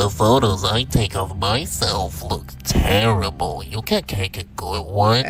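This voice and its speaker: A man's put-on character voice, very deep and low, fairly slow yet with hardly any pauses and lively intonation, over clear background noise. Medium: machinima. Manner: casual, slangy.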